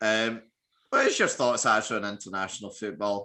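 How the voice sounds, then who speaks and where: Against a quiet background, a man with a Scottish accent speaks in a bright, sharp tone at a fairly low pitch. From Scotland. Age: 20s. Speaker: podcast host. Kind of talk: casual podcast chat.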